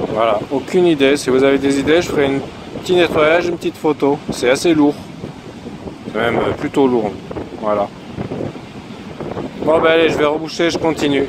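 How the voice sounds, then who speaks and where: A man at a moderate pace and fairly high pitch, with ordinary pitch variation, long, frequent pauses and noticeable background noise. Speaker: metal detecting youtuber. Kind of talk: casual vlog narration outdoors. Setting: outdoors in a field. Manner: loud.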